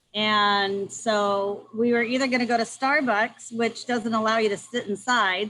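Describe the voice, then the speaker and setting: A loud woman speaks at a moderate pace with a fairly high pitch and a bright, sharp tone. Her intonation is fairly even. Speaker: review team member. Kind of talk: casual chat. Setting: outdoors on video call. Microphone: laptop.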